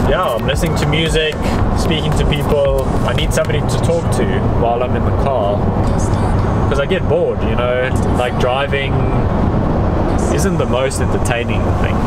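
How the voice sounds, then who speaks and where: A man's speech broken by long, frequent pauses, with music in the background. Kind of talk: casual vlog chat. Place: car. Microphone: phone near.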